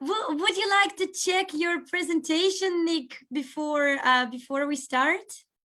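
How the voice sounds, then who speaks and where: A woman with a Russian accent speaks in an extremely high, bright, sharp voice, raised and projected. She leaves hardly any pauses. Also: ordinary pitch variation. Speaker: seminar host. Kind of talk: casual chat before online seminar. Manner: hesitant, with fillers.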